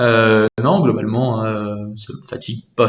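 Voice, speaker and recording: A man with ordinary pitch variation. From France (Normandy). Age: 20s. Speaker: student. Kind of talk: casual interview. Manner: hesitant, many fillers and repetitions.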